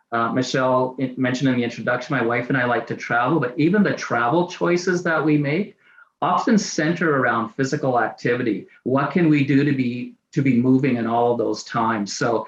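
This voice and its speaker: A man with a Canadian accent at a medium pitch and fairly quick pace, with ordinary pitch variation. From Canada, Saskatoon, Saskatchewan. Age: 60s. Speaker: community physical activity consultant sharing chronic pain story. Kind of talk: personal testimony in webinar. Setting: video call webinar. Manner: glances down at notes, partly reading.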